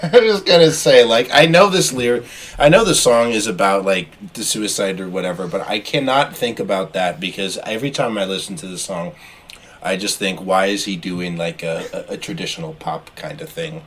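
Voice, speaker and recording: Through noticeable background noise, a man at a medium pitch speaks at a moderate pace with very wide pitch swings and big swings in loudness. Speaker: podcast co-host, music reviewer. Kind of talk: casual chat.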